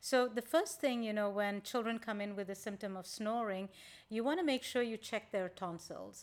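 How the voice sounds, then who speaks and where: A woman with a plain, everyday voice speaks at a moderate pace in a fairly high pitch with ordinary pitch variation, in a very clean recording with a silent background. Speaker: physician, sleep specialist. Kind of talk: interview. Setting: studio. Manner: warm, friendly.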